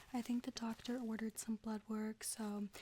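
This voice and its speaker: Over noticeable background noise, a woman with a fairly high pitch speaks at a moderate pace in a calm tone, her intonation monotone and flat. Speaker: ASMR artist doing a nurse roleplay. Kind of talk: medical roleplay ASMR vital check. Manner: soft-spoken, calm.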